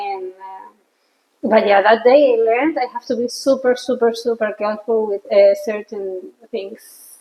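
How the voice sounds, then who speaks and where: A woman with a Spanish accent at a moderate pace, her pitch fairly high and ordinary in variation, her loudness swinging widely. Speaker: podcast host. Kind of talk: casual chat. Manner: halting.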